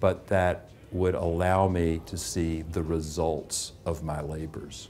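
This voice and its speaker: In a room with audible echo, a man speaks very slowly in a very deep, low, monotone, flat voice. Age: 60s. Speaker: English teacher. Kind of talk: testimonial interview.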